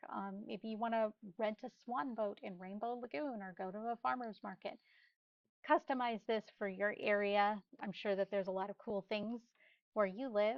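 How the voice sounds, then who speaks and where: A woman speaks at a moderate pace in an ordinary speaking voice, fairly high in pitch with ordinary pitch variation. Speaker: real estate marketing instructor. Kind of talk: tutorial.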